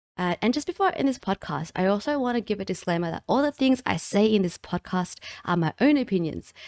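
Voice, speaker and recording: A woman with an Australian accent talks at a very fast pace with hardly any pauses, her medium pitch swinging very widely, on a very clean recording with a silent background and a dry, close sound with no echo. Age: 20s. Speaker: podcast host and streamer. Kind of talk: solo podcast monologue, reading from a screen. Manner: casual, chatty.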